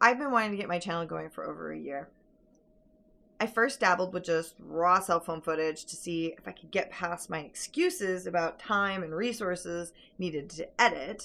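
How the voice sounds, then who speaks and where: A woman with a fairly low pitch has a bright, sharp tone. Her loudness swings widely while her pitch varies in an ordinary way. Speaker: farm vlogger. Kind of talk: vlog monologue. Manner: fast.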